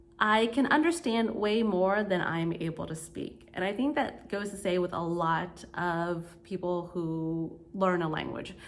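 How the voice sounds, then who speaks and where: A woman talks at a fairly slow pace and medium pitch, with ordinary pitch variation and hardly any pauses. Audible room echo surrounds her voice. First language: Vietnamese. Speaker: vlogger. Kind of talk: casual vlog talk. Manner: casual, filler words.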